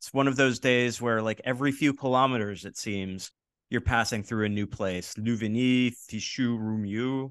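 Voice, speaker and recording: Against a quiet background, a man with a plain, everyday voice talks at a medium pitch with fairly even intonation. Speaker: podcast host. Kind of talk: casual interview.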